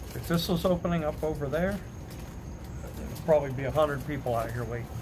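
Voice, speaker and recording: The speech moves at a very fast pace. Room echo is audible throughout. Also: man. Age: 50s. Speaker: livestreamer. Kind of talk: casual chat.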